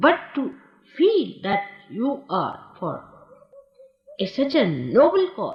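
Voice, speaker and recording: The pitch swings very widely as the speech unfolds at a very slow pace. Long pauses come often. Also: woman, high pitch for a woman. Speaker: spiritual teacher. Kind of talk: recorded talk recalling personal history.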